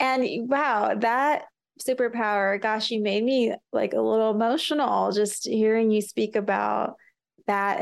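A woman speaks at a fairly slow pace. She uses a normal speaking voice with ordinary pitch variation. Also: quiet background. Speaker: podcast host and entrepreneur. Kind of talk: interview conversation.

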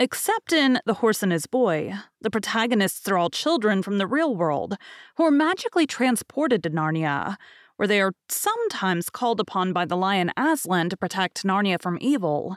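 A woman at a medium pitch speaks at a moderate pace, her pitch swinging very widely. The recording is very clean with a silent background, dry and close with no echo. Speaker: podcast host and audiobook narrator. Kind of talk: casual interview.

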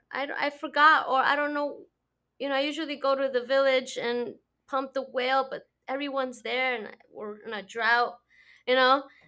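In a Spanish accent, a woman speaks at a high pitch and a moderate pace with a bright, sharp tone. Intonation is fairly even, and the recording is very clean with a silent background. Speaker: podcast host. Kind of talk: podcast interview; guided meditation.

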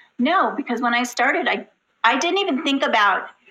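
A woman with an American accent talks at a fairly quick pace with lively intonation. She has an ordinary speaking voice. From Southern California. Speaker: special education teacher and children's author. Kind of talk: interview.

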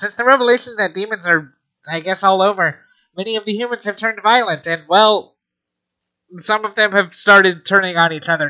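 A put-on character voice runs at a fairly quick pace and a middle pitch. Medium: actual play.

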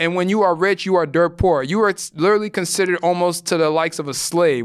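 Talking at a fairly quick pace, a man with a high pitch shows ordinary pitch variation on a very clean recording with a silent background. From Ghana. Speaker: podcast host. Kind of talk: solo commentary monologue.

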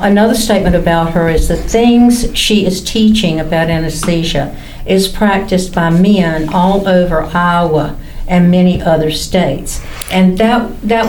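A woman with a Southern US accent at a medium pitch and a fairly slow pace, ordinary pitch variation, and noticeable background noise. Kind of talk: casual chat.

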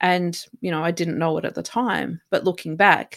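A woman with an Australian accent at a fairly low pitch and moderate pace, in a dry, close sound with no echo. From remote Australia. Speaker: resilience coach and inspirational speaker. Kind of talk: casual interview. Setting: remote call.

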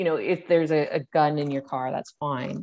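A dark, mellow tone in an Ontario accent at a moderate pace, with fairly even intonation. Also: woman. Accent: Canadian English (Ontario). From Hamilton, Ontario. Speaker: mayoral candidate and party leader. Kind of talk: interview.

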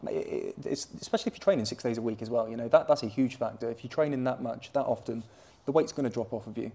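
Speaking at a very fast pace, a man shows big swings in loudness. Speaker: jiu-jitsu coach and gym owner. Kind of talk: casual interview chat. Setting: recorded at a jiu-jitsu gym.

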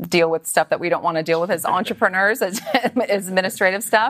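A woman's voice with ordinary pitch variation on a very clean recording with a silent background. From Canada (British Columbia, later Toronto). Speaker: entrepreneur. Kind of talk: interview.

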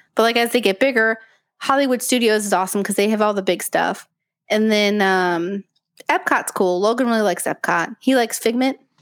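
An ordinary speaking voice from a woman, fairly high in pitch with ordinary pitch variation, at a fairly quick pace with very even loudness, on a very clean recording with a silent background. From US Midwest, Indiana. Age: 30s. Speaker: podcast co-host, mother. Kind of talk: casual chat. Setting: studio with partner beside her, live stream.

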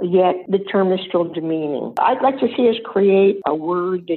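The speech moves at a moderate pace with ordinary pitch variation against noticeable background noise. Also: woman. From US. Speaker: blogger and senior style advocate. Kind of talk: interview.

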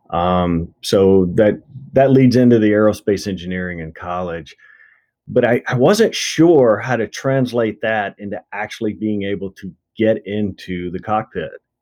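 With a slight Southern US accent, the speaker has a dark, mellow tone, a fairly slow pace and big swings in loudness. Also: man, fairly low pitch for a man, ordinary pitch variation. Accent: slight Southern US drawl. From Mississippi, US South. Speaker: endurance coach, former military pilot. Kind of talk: casual interview conversation.

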